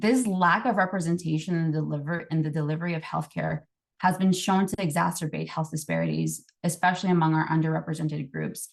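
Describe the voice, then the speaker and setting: A woman with a very deep, low voice talks at a very fast pace. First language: Spanish. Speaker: public health presenter. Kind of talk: presentation. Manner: halting, many fillers.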